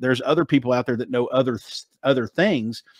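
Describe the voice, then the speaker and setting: At a very fast pace and medium pitch, a man talks on a very clean recording with a silent background and a dry, close sound with no echo. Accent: Southern US. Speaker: author, marketing expert. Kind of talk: interview answer. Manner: casual, confident.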